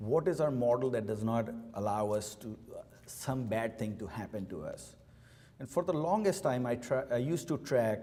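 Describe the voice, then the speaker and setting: Somewhat breathy, a man speaks at a moderate pace and medium pitch. His intonation is lively. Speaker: company CEO. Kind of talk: keynote speech. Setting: luncheon event with audience.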